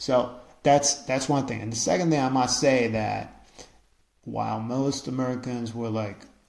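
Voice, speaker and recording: In a room with audible echo, a man with a medium-pitched voice talks at a moderate pace with fairly even intonation. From Israel. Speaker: podcaster. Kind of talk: casual monologue. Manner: halting, many repetitions and fillers.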